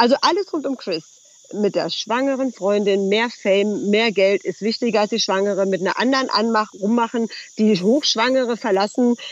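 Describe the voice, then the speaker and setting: Speech at a moderate pace with noticeable background noise. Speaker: trash TV commentator. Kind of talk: casual chat. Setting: video call.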